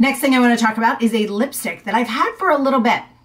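A somewhat breathy woman's voice with ordinary pitch variation and a quiet background. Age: 40s. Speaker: beauty and fashion YouTuber. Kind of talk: product review vlog. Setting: home video recording. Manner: casual, enthusiastic. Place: home room.

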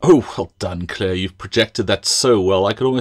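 The speaker is reading aloud in a natural voice, with ordinary pitch variation.

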